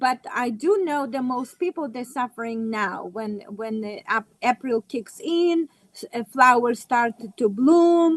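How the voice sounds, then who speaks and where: A woman with a non-native accent speaks at a fairly slow pace, high-pitched and with lively intonation, in a dry, close sound with no echo. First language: not English. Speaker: natural health practitioner. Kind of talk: casual chat. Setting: live video stream. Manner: halting.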